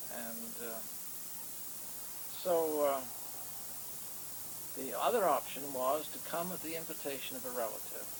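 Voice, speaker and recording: A man's speech with long, frequent pauses, big swings in loudness, and noticeable background noise. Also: ordinary pitch variation, fairly slow pace. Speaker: retiree. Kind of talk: interview answer, family recollection. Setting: home VHS recording, poor quality.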